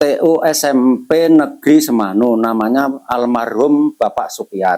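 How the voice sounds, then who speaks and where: A man's dark, mellow voice at a very slow pace, with ordinary pitch variation. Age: 60s. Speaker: retired school administrative staff. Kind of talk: interview.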